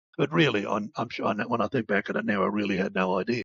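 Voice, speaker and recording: The speech moves at a very fast pace with vocal fry. Its pitch swings very widely. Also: man. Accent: Australian. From rural southern Australia. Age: 70s. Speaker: recovery advocate. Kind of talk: personal testimony. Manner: halting, many repetitions.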